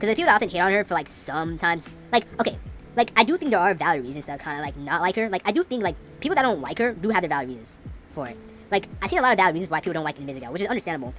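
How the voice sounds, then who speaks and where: Music plays in the background as a woman talks at a very fast pace. Her fairly low voice makes very wide pitch swings. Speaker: gaming commentator. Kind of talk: gameplay commentary rant. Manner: stumbling over words.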